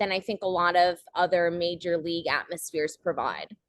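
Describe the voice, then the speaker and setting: In a dry, close sound with no echo, a woman with a New Jersey accent speaks at a fairly quick pace. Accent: American, New Jersey. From New Jersey, US. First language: Portuguese. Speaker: soccer club video host and producer. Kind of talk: interview.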